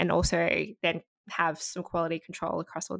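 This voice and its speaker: A woman with an Australian accent at a fairly quick pace, in a dry, close sound with no echo. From Australia (Sydney, Gold Coast). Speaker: nonprofit founder, advertising account director. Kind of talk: interview conversation. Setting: remote call.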